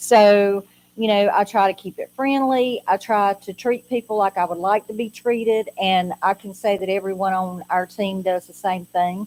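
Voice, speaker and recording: Here is an unremarkable speaking voice from a woman at medium pitch, moving at a moderate pace with hardly any pauses and fairly even intonation. Loudness swings widely, and the sound is dry and close with no echo. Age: 60s. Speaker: social services adult protective evaluator. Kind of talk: informational presentation.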